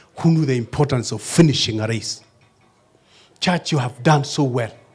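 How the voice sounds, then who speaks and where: A man with a medium pitch and a somewhat breathy voice talks at a moderate pace with ordinary pitch variation. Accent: Kenyan. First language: Kalenjin. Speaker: pastor. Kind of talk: sermon. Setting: church.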